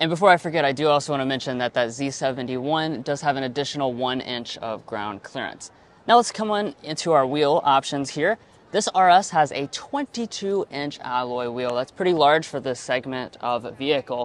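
There is no echo, so the sound is dry. The man's pitch varies in an ordinary way as he goes at a moderate pace. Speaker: car reviewer. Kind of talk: product walkaround review. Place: hall. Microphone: lapel.

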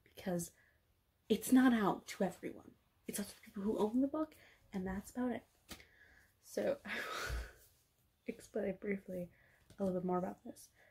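A woman with a dark, mellow, somewhat breathy tone speaks at a moderate pace with ordinary pitch variation. Her loudness swings widely, and she leaves long, frequent pauses. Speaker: vlogger. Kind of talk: casual vlog chat. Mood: enthusiastic, laughing. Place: home room. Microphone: phone near.

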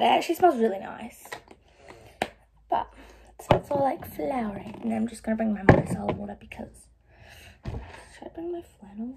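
Loud background noise surrounds a woman who talks at a moderate pace. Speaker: vlogger. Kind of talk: casual vlog chat. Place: home room. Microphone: phone near.

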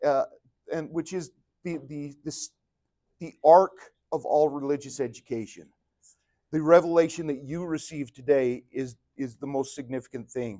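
The speech moves at a moderate pace with fairly even intonation and long, frequent pauses. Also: man, quiet background. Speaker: religion teacher. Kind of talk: lecture. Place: classroom.

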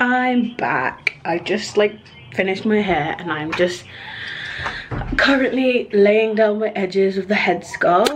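Very slow speech from a woman, with noticeable background noise behind it. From United Kingdom. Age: young. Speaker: events management student. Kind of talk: casual vlog talk to camera. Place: home room. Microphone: phone near.

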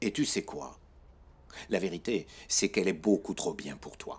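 A man puts on a character voice, low in pitch with big pitch swings and vocal fry. His tone is slightly mellow and his pace moderate.

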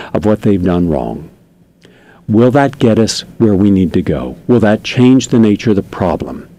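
A man's fairly low voice with lively intonation, dry with no echo. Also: moderate pace. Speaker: radio show host. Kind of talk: commentary monologue read from notes. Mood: earnest, critical. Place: studio. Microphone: studio mic.

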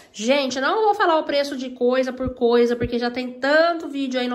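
A high-pitched woman talks at a moderate pace with ordinary pitch variation. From Brazil. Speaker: vlogger. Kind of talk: casual vlog chat. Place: home room. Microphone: phone near.

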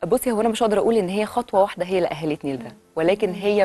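A woman speaks very fast with lively intonation over faint background music. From Egypt. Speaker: former volleyball player; TV guest. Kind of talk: TV interview. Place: studio.

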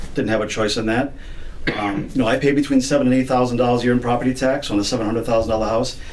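A man's medium-pitched voice in an American accent, very fast and monotone with flat intonation, amid noticeable background noise and audible room echo. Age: 50s. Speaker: resident speaking at public comment. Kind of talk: public comment at town meeting. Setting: town council meeting. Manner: halting.

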